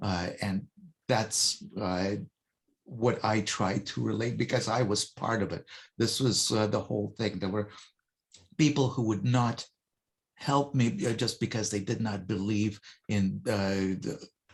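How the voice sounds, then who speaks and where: With vocal fry and a fairly low pitch, a man speaks at a fairly slow pace with ordinary pitch variation and long, frequent pauses. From Russia, moved to North America as a young child. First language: Russian. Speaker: motivational hypnotist and speaker. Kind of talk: podcast interview. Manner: hesitant, many filler uhs.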